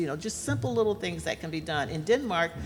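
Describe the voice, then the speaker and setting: Vocal fry in a woman's fairly low-pitched voice. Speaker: panelist, aging advocate. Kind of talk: panel discussion. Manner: fast.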